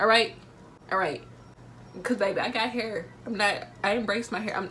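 A woman with an animated, bright, sharp tone and a fairly high pitch speaks at a moderate pace with long, frequent pauses, over light background noise. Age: 19. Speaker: vlogger. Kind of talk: casual talk to camera. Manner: chatty, animated. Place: home room. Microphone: phone near.

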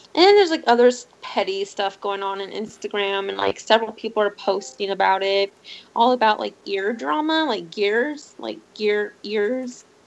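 This woman has an ordinary speaking voice of medium pitch, moving at a moderate pace with lively intonation. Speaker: streamer. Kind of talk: casual chat. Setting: live stream.

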